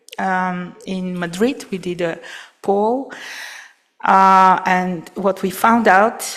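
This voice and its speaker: A woman speaks at a very slow pace with a non-native accent. Her pitch is medium. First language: not English. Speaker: aviation regulator presenter. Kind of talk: conference presentation. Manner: halting, many fillers.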